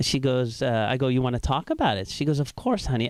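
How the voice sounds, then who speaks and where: A man's medium-pitched voice with a slight Iraqi accent and lively intonation, on a very clean recording with a silent background. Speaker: stand-up comedian. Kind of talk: stand-up. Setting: stage with audience.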